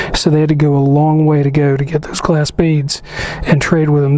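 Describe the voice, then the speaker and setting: Over noticeable background noise, a man talks fairly quickly at a fairly high pitch with monotone, flat intonation. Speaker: motorcycle travel vlogger. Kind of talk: casual vlog walkthrough. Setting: museum exhibition room. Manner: halting, many fillers.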